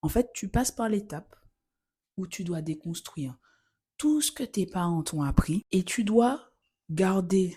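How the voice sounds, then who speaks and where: A woman's somewhat breathy, dark, mellow voice with lively intonation. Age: 20s. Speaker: podcast host. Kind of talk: solo podcast monologue. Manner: casual, conversational.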